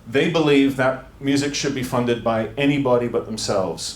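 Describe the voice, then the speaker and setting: Audible room echo mixes with noticeable background noise in this clip. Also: man. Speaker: music tech entrepreneur and former band singer. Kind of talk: conference talk. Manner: hesitant, many fillers.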